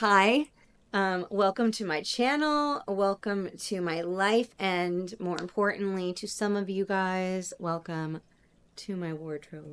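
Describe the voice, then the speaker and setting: A woman with a medium pitch speaks at a very slow pace against a quiet background. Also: ordinary pitch variation. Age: 40s. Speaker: fashion stylist and vlogger. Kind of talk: casual vlog. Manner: animated.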